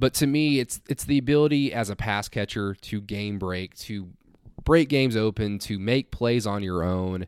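Heard on a very clean recording with a silent background, a plain, everyday voice with an American accent moves at a moderate pace with ordinary pitch variation. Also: man, fairly low pitch for a man. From Oklahoma. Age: 20s. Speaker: sports radio host and podcaster. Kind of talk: sports podcast monologue.

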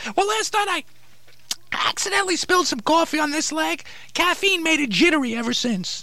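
A cartoonish character voice. It moves at a fairly quick pace. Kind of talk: comic ventriloquist patter. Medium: puppet show. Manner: indignant, rationalizing.

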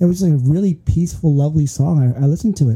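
Somewhat breathy and with a dark, mellow tone, a man talks at a fairly quick pace with a fairly high pitch and ordinary pitch variation. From Philippines, then California Bay Area. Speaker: podcast host. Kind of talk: casual chat.

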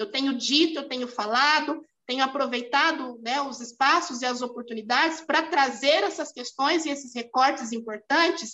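Her voice is high-pitched, raised and projected, with a bright, sharp tone and ordinary pitch variation. This woman keeps a moderate pace with hardly any pauses. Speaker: lawyer and municipal official. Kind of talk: interview. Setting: video call.

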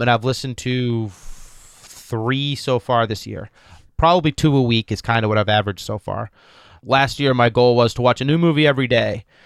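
The recording is very clean, with a silent background and a dry, close sound with no echo. A man speaks at a medium pitch and moderate pace with ordinary pitch variation. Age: 40s. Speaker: podcast co-host. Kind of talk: casual chat. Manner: laid-back.

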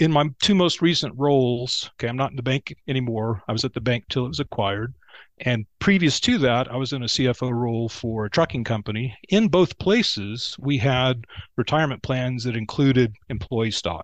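In a Texan accent, a man talks at a moderate pace and medium pitch with ordinary pitch variation, over a quiet background and a dry, close sound with no echo. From Texas. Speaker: banking consultant, former bank CFO. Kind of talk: casual interview chat.

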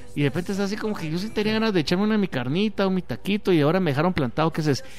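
Over music in the background, a man speaks at a very fast pace in a high, animated voice with lively intonation. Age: 30s. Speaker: radio host. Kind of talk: casual chat.

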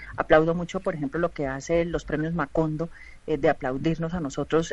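Her voice sits very deep and low. The woman's intonation is fairly even. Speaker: film and TV producer. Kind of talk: radio panel discussion.

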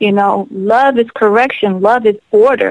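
With an unremarkable speaking voice, a woman talks at a moderate pace and fairly high pitch with fairly even intonation, the sound dry and close with no echo. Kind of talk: radio interview, faith-driven testimony style. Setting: phone call. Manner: earnest, fervent, preacherly.

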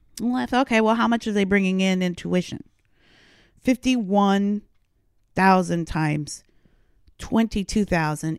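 A woman's lively intonation on a very clean recording with a silent background. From Canada. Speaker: podcast host. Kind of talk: opinion monologue. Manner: animated.

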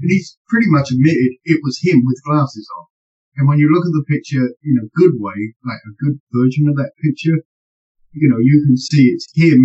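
At a moderate pace, a man talks in a fairly high pitch, his voice somewhat breathy, with ordinary pitch variation. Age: old. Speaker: paranormal podcast co-host. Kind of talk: casual discussion.

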